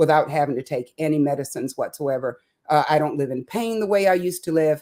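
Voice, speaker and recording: The voice has a dark, mellow tone. Its pitch varies an ordinary amount. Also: woman. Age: 60s. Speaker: cooking demo guest, former teacher. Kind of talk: casual interview chat. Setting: live stream. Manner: halting, many fillers.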